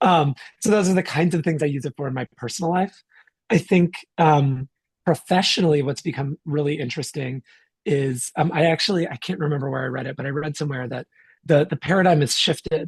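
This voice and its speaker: A somewhat breathy, fairly high-pitched man's voice with ordinary pitch variation. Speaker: tech executive. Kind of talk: podcast interview. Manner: halting with many repetitions.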